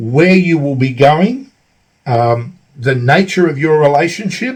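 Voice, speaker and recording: Speaking at a fairly slow pace, a man with an Australian accent uses lively intonation. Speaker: travel vlogger. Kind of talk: tutorial. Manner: halting, many fillers.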